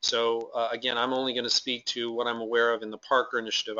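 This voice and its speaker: A man at medium pitch, very fast in pace, with monotone, flat intonation. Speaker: legislative advocate. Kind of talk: webinar presentation. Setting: webinar. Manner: loud.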